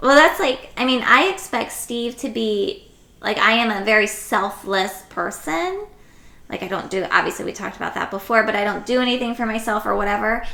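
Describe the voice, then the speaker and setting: Over noticeable background noise, a woman speaks fairly quickly in a fairly high voice with lively intonation. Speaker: podcast host, mother. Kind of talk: casual chat.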